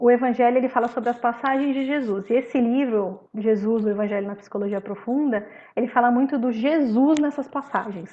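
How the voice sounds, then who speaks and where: This woman has a plain, everyday voice, fairly high in pitch, speaking at a moderate pace with ordinary pitch variation. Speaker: spiritist study group presenter. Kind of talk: religious study talk.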